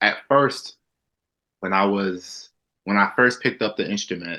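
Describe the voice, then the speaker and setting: With a Southern US accent, a man of fairly low pitch speaks at a moderate pace with a bright, sharp tone and fairly even intonation. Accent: American Southern. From US South, South Carolina. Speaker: musician. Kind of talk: interview. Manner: halting.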